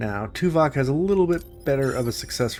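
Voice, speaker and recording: A man talks fairly quickly, his pitch swinging very widely, while music plays in the background. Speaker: video game streamer. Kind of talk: gameplay commentary reading game text aloud. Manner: casual with self-corrections.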